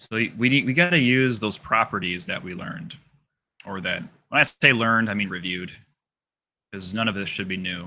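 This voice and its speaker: With a bright, sharp tone and medium pitch, a man talks at a fairly quick pace with lively intonation. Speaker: math teacher. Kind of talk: classroom lecture. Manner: fast.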